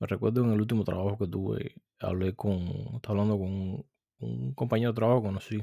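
A man speaks very fast in a dark, mellow tone. The sound is dry and close with no echo. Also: fairly low pitch for a man, ordinary pitch variation. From Cuba. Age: 30s. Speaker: podcast host. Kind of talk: solo commentary.

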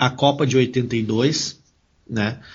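Here a man speaks with fairly even intonation. His voice sounds somewhat breathy. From Rio Grande do Sul, Brazil (Venâncio Aires). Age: 40s. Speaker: sports journalist. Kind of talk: casual interview.

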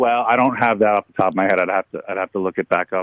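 A man with a normal speaking voice and a fairly low pitch talks at a fairly quick pace. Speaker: sports reporter. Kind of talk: interview.

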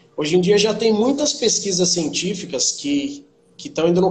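A man's high-pitched voice amid noticeable background noise and audible room echo. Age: 30s. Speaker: personal trainer. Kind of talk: interview.

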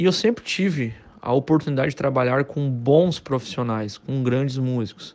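An unremarkable speaking voice from a man at medium pitch and a moderate pace. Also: ordinary pitch variation. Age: 30s. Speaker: musician and music teacher. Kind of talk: casual monologue to camera.

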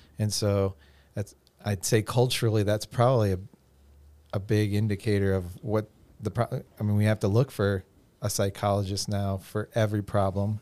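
A man's fairly low, dark, mellow voice in a flat monotone, with long, frequent pauses, on a very clean recording over a silent background. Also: moderate pace. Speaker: youth pastor. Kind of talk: casual podcast conversation.

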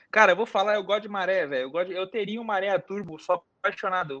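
A man talks at a fairly quick pace. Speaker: car YouTuber. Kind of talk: casual chat. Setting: live stream.

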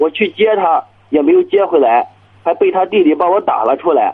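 A man speaks at a moderate pace. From Chinese county town. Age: 30s. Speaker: small business owner. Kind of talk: phone-in call. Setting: phone call. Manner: hesitant, many fillers.

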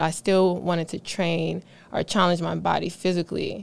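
This is an unremarkable speaking voice with an American accent. It moves at a moderate pace with fairly even intonation. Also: woman. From Philadelphia, US. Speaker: fitness trainer. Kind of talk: casual interview.

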